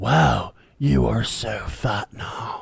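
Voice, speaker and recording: A man puts on a raspy character voice pitched very deep and low. His pitch swings very widely. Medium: read story.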